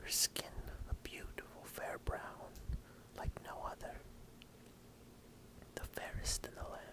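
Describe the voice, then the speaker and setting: A man whispers at a very slow pace. His tone is soothing. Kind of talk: whispered story reading (ASMR). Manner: whispered, soothing.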